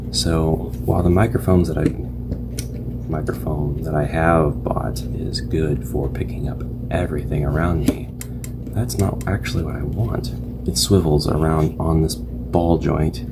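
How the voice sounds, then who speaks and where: The speech moves at a fairly slow pace with ordinary pitch variation, and noticeable background noise can be heard. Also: man. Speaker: reviewer. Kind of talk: casual product review. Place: home room.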